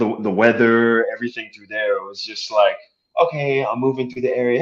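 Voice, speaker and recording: The voice belongs to a man at a medium pitch. He keeps a fairly quick pace. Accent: American. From US East Coast, Brooklyn then St. Petersburg, Florida. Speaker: actor. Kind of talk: casual chat.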